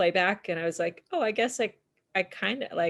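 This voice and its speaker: A woman is speaking here. She has an ordinary speaking voice and keeps a moderate pace. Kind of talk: casual chat.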